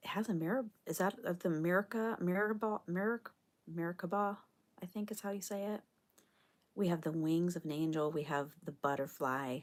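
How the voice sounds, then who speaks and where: Soft-spoken delivery moves at a moderate pace with ordinary pitch variation. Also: woman, fairly low pitch for a woman. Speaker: spiritual card reader. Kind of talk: live stream card reading. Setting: live stream.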